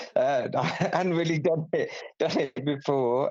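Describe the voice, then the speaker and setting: Speaking at a fairly slow pace, a man talks in a southern English accent. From southern England, near Aylesbury. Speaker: radio sports presenter. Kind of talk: casual interview. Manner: halting.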